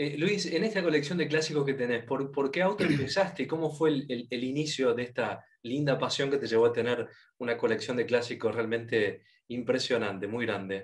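An ordinary speaking voice, a man at a fairly high pitch with lively intonation and a fairly quick pace, quiet background. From Argentina. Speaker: motor show interviewer. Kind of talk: interview. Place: home room. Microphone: video call.

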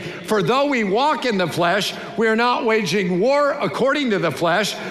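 A man at a moderate pace with hardly any pauses, amid audible room echo. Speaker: pastor, preacher. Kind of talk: sermon, preaching to a congregation. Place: church. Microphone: headset.

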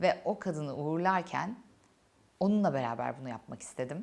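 Her fairly low voice, a woman's, moves through very wide pitch swings. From Turkey, Antalya. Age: 30s. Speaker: YouTuber, cancer survivor. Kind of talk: personal testimony. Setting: studio set during makeup session. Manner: emotional, reflective.

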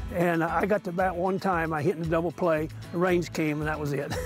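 Over clear music in the background, a man with an American accent speaks at a high pitch with fairly even intonation. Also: dry sound with no echo. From southern Illinois. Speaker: softball umpire. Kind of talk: interview answer. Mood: warm, reminiscing. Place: stadium. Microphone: lapel.

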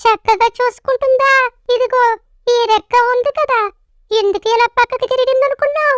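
This cartoonish character voice sits at an extremely high pitch. It moves at a moderate pace. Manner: teasing, laughing.

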